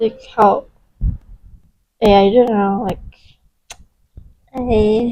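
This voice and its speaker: At a very slow pace with long, frequent pauses, a woman speaks in a non-native accent, her fairly high voice dark and mellow in tone and flat and monotone in intonation. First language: not English. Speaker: live streamer, gamer. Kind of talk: casual chat. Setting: live stream. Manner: halting.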